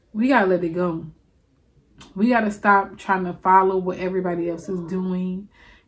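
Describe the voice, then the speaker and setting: A woman with a New Orleans accent speaks at a moderate pace, her intonation fairly even. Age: 20s. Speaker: video blogger. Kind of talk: confessional monologue. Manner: casual, chatty. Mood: reflective, earnest. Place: home room. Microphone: studio mic.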